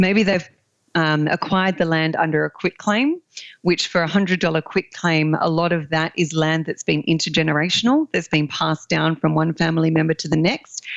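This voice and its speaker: With an Australian accent, a woman speaks at a fairly quick pace with a very deep, low pitch and fairly even intonation. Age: 40s. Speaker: land investor. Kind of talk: podcast interview.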